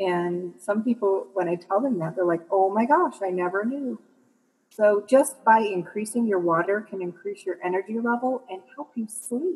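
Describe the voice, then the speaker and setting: Speaking in an American accent at a moderate pace, a woman has a plain, everyday voice with a medium pitch and lively intonation. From Michigan, US Midwest. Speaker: massage therapist and health coach. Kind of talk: interview conversation.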